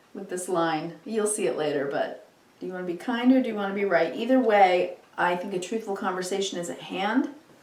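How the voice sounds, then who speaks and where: At a fairly quick pace, a woman of medium pitch talks with lively intonation and big swings in loudness, with noticeable background noise behind her. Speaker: tarot reader. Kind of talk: tarot reading.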